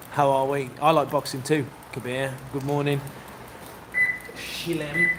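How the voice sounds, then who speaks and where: Speaking in a West Midlands accent, a man has a fairly high pitch and a monotone, flat intonation. He talks at a fairly slow pace against noticeable background noise. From West Midlands, England (Kidderminster). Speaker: boxing coach and livestreamer. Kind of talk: casual livestream chat.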